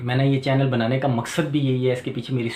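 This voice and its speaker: Monotone, flat intonation from a medium-pitched man over noticeable background noise. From Pakistan, Rawalpindi. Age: 40s. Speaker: electrician and YouTuber. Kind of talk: channel introduction monologue. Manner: hesitant with filler sounds.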